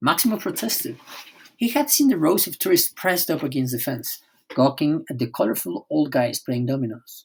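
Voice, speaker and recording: On a very clean recording with a silent background, a man sounds somewhat breathy as he talks at a moderate pace. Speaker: audiobook narrator. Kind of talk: audiobook reading.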